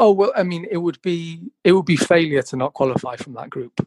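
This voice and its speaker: A man with a Welsh accent speaks at a moderate pace, his high-pitched voice carrying lively intonation. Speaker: football podcaster. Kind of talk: casual chat. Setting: remote call.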